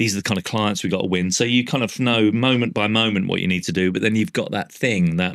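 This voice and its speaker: A man with a London accent talks very fast in a fairly low, animated voice, with hardly any pauses. His loudness is very even and his pitch variation ordinary, in a very clean recording with a silent background. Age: 60s. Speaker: artist and former advertising executive. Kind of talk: podcast interview. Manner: animated, casual with frequent swearing.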